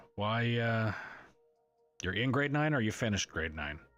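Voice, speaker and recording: Music plays behind a man who speaks in a calm, relaxed tone. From Newfoundland, Canada. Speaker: livestreamer and gamer. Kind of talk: casual chat while gaming livestream. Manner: monotone.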